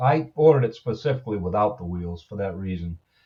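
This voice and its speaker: Man's somewhat breathy voice with a dark, mellow tone, lively intonation and a moderate pace, over a quiet background. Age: 70s. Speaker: video blogger. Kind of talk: product review. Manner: halting; casual.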